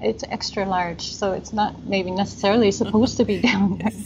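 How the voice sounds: Slightly mellow tone, fairly even intonation and a moderate pace. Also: woman, medium pitch for a woman.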